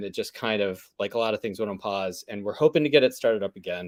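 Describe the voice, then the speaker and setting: With an American accent, a man rattles off words at a very fast pace, his pitch varying in an ordinary way. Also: very clean recording, silent background. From Pittsburgh, Pennsylvania. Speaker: vegan food business owner and podcaster. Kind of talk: casual chat.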